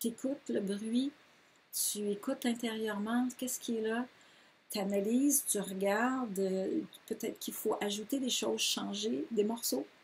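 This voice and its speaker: A woman's somewhat breathy, fairly high voice with ordinary pitch variation, at a fairly slow pace. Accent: Quebec. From Quebec. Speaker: yoga teacher. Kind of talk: course presentation. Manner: enthusiastic; hesitant, many fillers.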